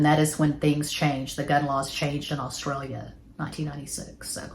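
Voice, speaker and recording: A woman with a Texas accent talks at a fairly quick pace in a very deep, low, somewhat breathy voice with monotone, flat intonation. Room echo is audible. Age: 40s. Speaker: tarot reader. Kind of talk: tarot reading; casual monologue. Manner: casual.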